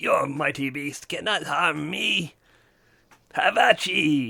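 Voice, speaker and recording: A man puts on a raspy character voice at a fairly high pitch, speaking at a very slow pace. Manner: squeaky, tiny, theatrical.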